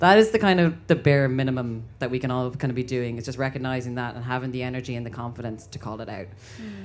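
With an Irish accent, a woman speaks very fast and with lively intonation. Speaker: LGBTQ activist and educator. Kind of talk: panel discussion. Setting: stage with audience.

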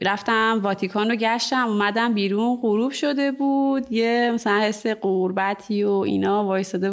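An unremarkable speaking voice moves at a moderate pace with very even loudness, ordinary pitch variation and hardly any pauses. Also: woman. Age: 30s. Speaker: ceramic artist and studio owner. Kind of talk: casual interview.

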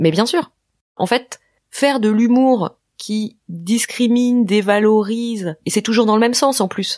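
Very slow delivery carries ordinary pitch variation. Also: woman, fairly high pitch for a woman. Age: 40s. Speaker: podcast creator and host. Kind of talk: interview testimony.

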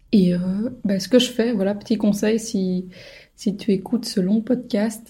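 A woman's somewhat breathy voice, dark and mellow in tone, medium-pitched, fairly slow and fairly even in intonation. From Belgium, Brussels. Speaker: podcast host. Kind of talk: personal monologue. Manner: hesitant, many filler sounds.

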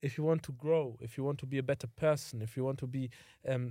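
A man speaks at a medium pitch in a dark, mellow tone with ordinary pitch variation. The recording is very clean, with a silent background. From Germany. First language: German. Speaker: podcast co-host. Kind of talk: casual chat.

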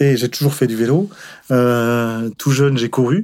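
A man's dark, mellow tone at a fairly slow pace with ordinary pitch variation, on a very clean recording with a silent background. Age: 60s. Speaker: retiree, amateur cyclist. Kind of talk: testimony. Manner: halting.

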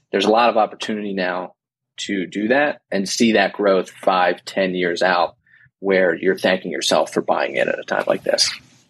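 With an American accent, a man speaks at a moderate pace and fairly low pitch. He has an unremarkable speaking voice with ordinary pitch variation. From New Jersey. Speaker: financial planner. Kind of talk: casual interview.

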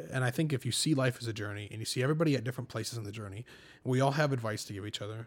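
On a very clean recording with a silent background, a man speaks very fast in a somewhat breathy voice. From Michigan, small farm town. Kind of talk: casual chat.

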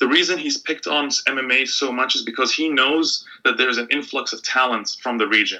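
Speaking at a moderate pace with hardly any pauses, a man is heard over noticeable background noise. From Middle East (Bahrain and Egypt). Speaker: sports and politics journalist. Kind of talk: interview.

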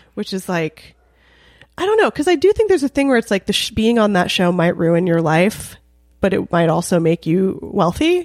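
In a Californian accent, a woman at medium pitch speaks at a moderate pace with an animated tone and lively intonation, in a very clean recording with a silent background and a dry, close sound with no echo. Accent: Californian American English. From Los Angeles, North Hollywood. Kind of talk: casual chat.

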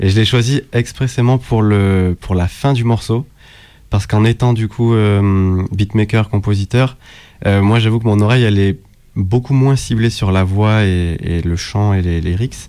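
A man's fairly low, dark, mellow voice at a fairly slow pace, with fairly even intonation, very even loudness, long, frequent pauses and a very clean recording with a silent background. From southern France, Nîmes. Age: 20s. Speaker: beatmaker. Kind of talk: radio interview.

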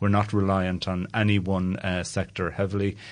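A man speaks with an Irish accent in a fairly low pitch. His intonation is monotone and flat, against a quiet background. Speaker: head of a government investment agency. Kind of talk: interview.

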